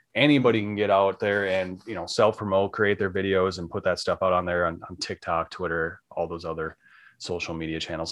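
A man with an American accent and a very deep, low pitch, at a fairly quick pace with hardly any pauses, against a quiet background. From Minnesota. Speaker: podcast host. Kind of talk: casual interview chat. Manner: enthusiastic.

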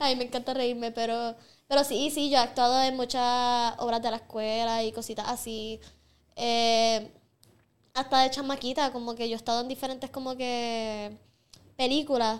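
The woman's voice is high-pitched. She talks with monotone, flat intonation. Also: moderate pace, very clean recording, silent background. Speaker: singer and makeup artist. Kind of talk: casual chat.

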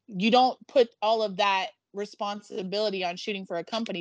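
An unremarkable speaking voice: a woman with a fairly high pitch talks at a moderate pace with ordinary pitch variation. The sound is dry and close with no echo, against a quiet background. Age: 40s. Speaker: adult entertainer and body positivity advocate. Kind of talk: casual chat.

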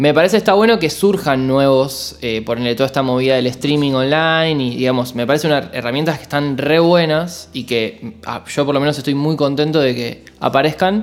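This man speaks with a Rioplatense accent at a moderate pace, his fairly high pitch showing ordinary variation and hardly any pauses breaking his speech. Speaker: podcast host. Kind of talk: interview.

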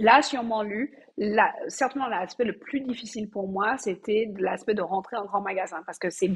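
Pitch varies in an ordinary way as the talking goes along at a moderate pace. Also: woman. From Martinique. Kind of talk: interview. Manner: halting.

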